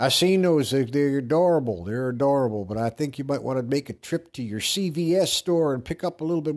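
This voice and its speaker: Against a silent background in a very clean recording, a man talks at a moderate pace with lively intonation. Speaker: podcast host. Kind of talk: casual monologue. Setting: bathroom with echo. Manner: rambling with many fillers.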